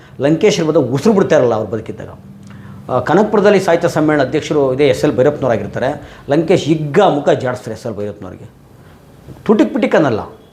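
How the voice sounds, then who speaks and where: A man speaks at a fairly high pitch with very wide pitch swings. Noticeable background noise is present. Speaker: social activist and channel host. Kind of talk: monologue to camera.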